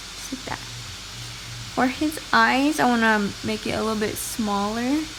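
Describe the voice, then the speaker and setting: There is noticeable background noise as a woman speaks at a fairly slow pace. Her voice is fairly high with lively intonation. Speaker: amateur artist. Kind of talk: drawing tutorial narration. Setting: low-quality home recording. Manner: some stuttering and repetition.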